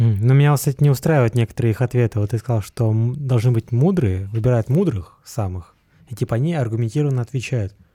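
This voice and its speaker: A man talks at a fairly quick pace with a medium pitch and ordinary pitch variation. His voice is somewhat breathy with a dark, mellow tone, in a dry, close sound with no echo. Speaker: podcast co-host. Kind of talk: casual chat.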